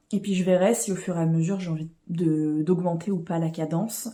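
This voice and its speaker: A woman's somewhat breathy voice carries a dark, mellow tone with ordinary pitch variation. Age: 20s. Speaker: book vlogger. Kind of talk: casual vlog talk. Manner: hesitant with many fillers.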